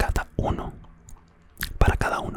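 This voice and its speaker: Whispering from a man, fairly slow, with noticeable background noise behind it. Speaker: ASMR creator. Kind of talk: ASMR myth storytelling for sleep. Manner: soft-spoken, whispered.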